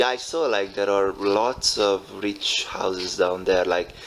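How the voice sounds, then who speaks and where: Speaking at a very slow pace, a man uses a fairly low voice with fairly even intonation. Noticeable background noise runs underneath. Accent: Hungarian. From Hungary. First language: Hungarian. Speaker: show host. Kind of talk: casual interview chat. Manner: halting, many fillers.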